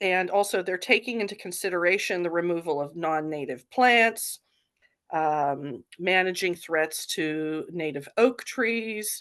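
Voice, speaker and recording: Against a quiet background, a woman with an unremarkable speaking voice talks at a fairly slow pace and medium pitch with lively intonation. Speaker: fire safety council presenter. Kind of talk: presentation in online forum meeting.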